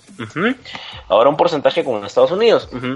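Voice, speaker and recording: Noticeable background noise surrounds the speaker. A man is talking in a fairly high voice. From Peru. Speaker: video game lawyer. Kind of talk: panel discussion.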